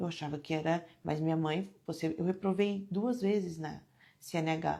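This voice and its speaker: A soft-spoken woman in a very clean recording with a silent background. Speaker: devotional speaker. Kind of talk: devotional talk. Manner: animated.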